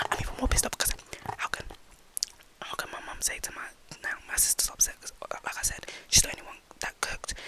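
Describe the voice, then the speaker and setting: Someone whispers at a very fast pace, broken by long, frequent pauses. Noticeable background noise runs underneath. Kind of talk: ASMR rambling talk to camera. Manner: whispered.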